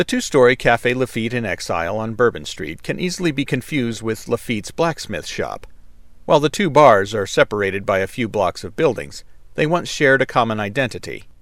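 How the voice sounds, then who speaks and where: A man's medium-pitched voice with vocal fry and very wide pitch swings, at a fairly quick pace, on a very clean recording with a silent background. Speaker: audiobook narrator reading nonfiction. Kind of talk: reading aloud, informative nonfiction narration.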